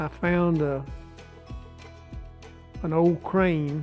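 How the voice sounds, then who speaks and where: A man with an East Texas accent speaks at a very slow pace and a fairly high pitch with fairly even intonation, music playing in the background. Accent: East Texas Southern American. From Marshall, Texas. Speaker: business owner. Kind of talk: interview answer.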